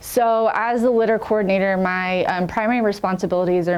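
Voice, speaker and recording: Speaking quickly enough to feel fairly brisk, a woman with an American accent uses a medium pitch and ordinary pitch variation. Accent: American accent when talking to Americans. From England, near Sheffield. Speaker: city litter coordinator. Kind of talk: podcast interview. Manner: frequent um fillers.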